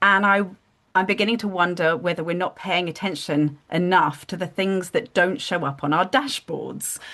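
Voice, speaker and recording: A woman with a British accent speaks at medium pitch and a moderate pace, her bright, sharp tone carrying ordinary pitch variation over a quiet background. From United Kingdom. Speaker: business founder, consultant. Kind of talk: live group video discussion.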